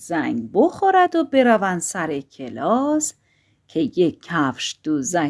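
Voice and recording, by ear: The background stays quiet while a person reads aloud in a natural voice.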